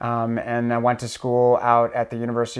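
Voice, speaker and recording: On a very clean recording with a silent background, a man with an American accent speaks at a medium pitch. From Minnesota, Iron Range (Hibbing). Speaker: school director. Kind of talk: interview. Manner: hesitant, many fillers.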